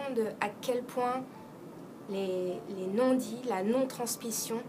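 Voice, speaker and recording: Music plays in the background as a woman talks at a very slow pace. Her pitch variation is ordinary. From France. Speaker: actress. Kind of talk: interview answer.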